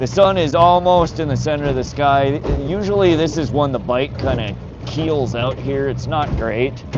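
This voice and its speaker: The speaker uses ordinary pitch variation. Music plays in the background, and the room echo is audible. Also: man, fairly high pitch for a man, moderate pace. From North Dakota. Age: 40s. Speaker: fishing livestreamer. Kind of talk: live stream chat with viewers. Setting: outdoors on a boat. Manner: casual, repetitive stammering.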